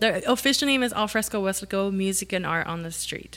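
In a normal speaking voice, a woman talks at a fairly quick pace. She has an American accent and a medium pitch. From South Texas, Rio Grande Valley (Weslaco). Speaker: city economic development communications manager. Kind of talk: casual interview chat.

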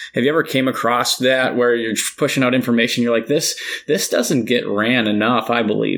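A man's plain, everyday voice at medium pitch, fairly quick and fairly even in intonation, with very even loudness. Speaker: podcast host, coach and teacher. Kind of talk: casual interview conversation.

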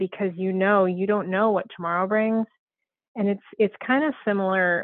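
Ordinary pitch variation in a woman's unremarkable speaking voice. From Southern Colorado. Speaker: western artist and ranch mother. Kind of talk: casual interview chat.

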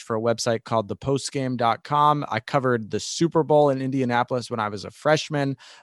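Against a quiet background with a dry, close sound and no echo, a man with an American accent talks at a very fast pace in a medium pitch with fairly even intonation. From New York. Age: 20s. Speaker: sports broadcaster. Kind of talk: interview.

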